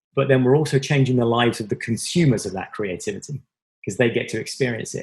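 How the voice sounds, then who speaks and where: Speaking at a fairly quick pace, a man with an English accent sounds somewhat breathy. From southwest England, Devon. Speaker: tech company marketing executive. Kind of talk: interview.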